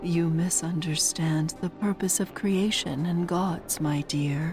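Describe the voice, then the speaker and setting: A woman's put-on character voice, fairly low in pitch and fairly slow in pace, over loud music in the background. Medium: read story. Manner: gentle, patronizing.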